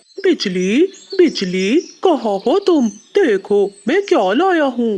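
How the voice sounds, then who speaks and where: A woman uses a cartoonish character voice, pitched high with very wide swings. She talks at a very slow pace. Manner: cocky, scheming.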